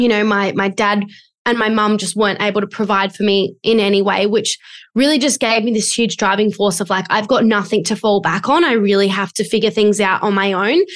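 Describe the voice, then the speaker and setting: A woman's Australian accent, medium in pitch, at a fairly quick pace with fairly even intonation over a quiet background. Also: very even loudness. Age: 20s. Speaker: business coach. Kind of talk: interview.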